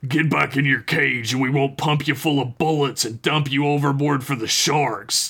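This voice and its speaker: A man uses a put-on character voice that is husky and fairly high in pitch, going at a moderate pace with hardly any pauses. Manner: threatening, gruff.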